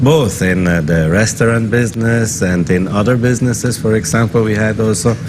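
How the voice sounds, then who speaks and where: Audible room echo mixes with noticeable background noise in the recording. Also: man. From German-speaking northern Italy. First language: German dialect. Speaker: business chamber executive director. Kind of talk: interview.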